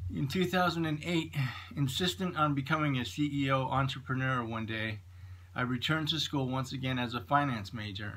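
A man with an American accent speaks at a moderate pace in a medium pitch, his bright, sharp tone carried by lively intonation. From Idaho, US. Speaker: small business owner. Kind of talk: scripted narration. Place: home room. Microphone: phone near.

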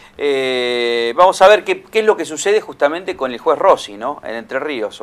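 The intonation is lively. The pace is fairly slow. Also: man. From Argentina. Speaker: tv news host. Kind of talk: studio interview. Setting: studio. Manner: halting. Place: studio. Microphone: studio mic.

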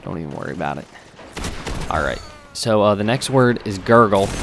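Lively intonation and a fairly quick pace carry the speech over noticeable background noise. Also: man. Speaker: gaming commentator. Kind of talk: live gameplay commentary.

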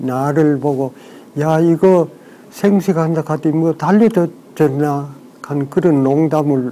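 A man with a fairly high voice talks very slowly. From South Korea. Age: 80s+. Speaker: interviewee, long-time raw-food eater. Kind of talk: interview answer. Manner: slow, hesitant. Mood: calm, content, slightly humorous. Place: home room.

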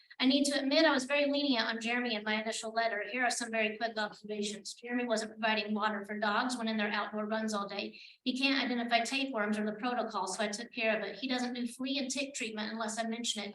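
Speech at a very fast pace, with fairly even intonation, rings with audible room echo. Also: woman, fairly high pitch for a woman, hardly any pauses. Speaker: public commenter, animal shelter volunteer. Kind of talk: public comment at council meeting. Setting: city council meeting.

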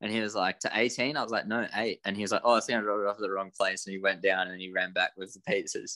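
In an Australian accent, a man with a fairly low pitch and a bright, sharp tone speaks very fast with hardly any pauses and fairly even intonation, over a quiet background. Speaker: guitarist. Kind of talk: casual interview. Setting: video call. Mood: amused, relaxed storytelling. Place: home room. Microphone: video call.

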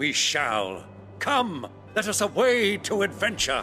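A put-on character voice at a fairly slow pace, with clear music in the background. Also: man. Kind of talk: archaic, formal, heroic. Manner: excited, theatrical.

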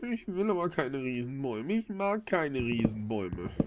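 A man speaks at a moderate pace with very wide pitch swings. Light background noise is audible. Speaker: gamer. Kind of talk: let's play commentary.

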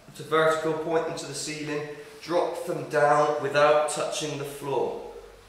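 A man speaking at a very slow pace amid strong room echo. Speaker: fitness instructor. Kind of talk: tutorial. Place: gym.

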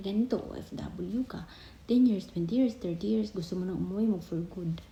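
This woman speaks at a moderate speed. Her volume rises and drops in big swings. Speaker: vlogger and overseas Filipino worker. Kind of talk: casual explainer vlog. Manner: halting, with many fillers.

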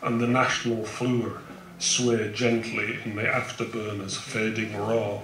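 Over noticeable background noise and audible room echo, a man speaks at a fairly slow pace in a monotone, flat intonation. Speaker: poet. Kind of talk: poetry reading. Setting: live event, outdoors. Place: tent. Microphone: handheld.

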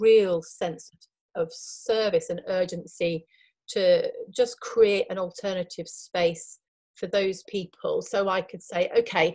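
Against a quiet background, a somewhat breathy woman speaks at a fairly slow pace with ordinary pitch variation. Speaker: remote podcast guest. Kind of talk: interview answer. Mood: earnest, reflective. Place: home room.

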